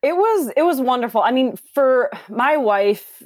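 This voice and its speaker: Using an ordinary speaking voice, a woman with an American accent talks at a fairly slow pace with lively intonation. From Minneapolis, US Midwest. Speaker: fitness instructor. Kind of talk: casual interview.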